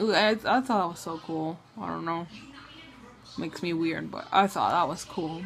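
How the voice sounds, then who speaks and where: A woman's fairly low voice at a moderate pace, with ordinary pitch variation, big swings in loudness, long and frequent pauses, and noticeable background noise. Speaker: new mother. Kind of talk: casual talk to camera. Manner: halting, with stutters and pauses.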